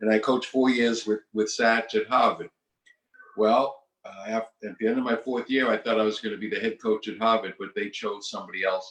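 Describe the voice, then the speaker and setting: A man with a Boston accent talks at a fairly quick pace and medium pitch in a monotone, flat intonation. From Massachusetts, Boston area. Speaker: retired basketball coach. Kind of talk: interview.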